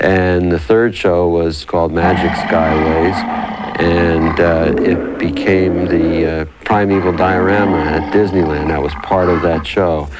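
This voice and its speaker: With noticeable background noise, a man speaks at a fairly slow pace in a very deep, low voice, flat and monotone in intonation and very even in loudness. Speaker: company executive. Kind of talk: interview answer. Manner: hesitant, with filler words.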